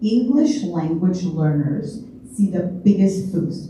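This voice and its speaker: Over noticeable background noise and audible room echo, a woman talks at a very slow pace with a medium pitch and ordinary pitch variation. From Chicago, Illinois. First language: not English. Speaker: Sunday school teacher and former teacher. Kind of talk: public presentation. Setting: library meeting room with audience.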